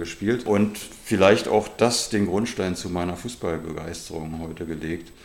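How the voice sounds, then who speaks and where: Noticeable background noise runs throughout. A man does the talking. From Germany, Berlin area. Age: 50s. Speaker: football youth coach and club vice-chair. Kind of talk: interview.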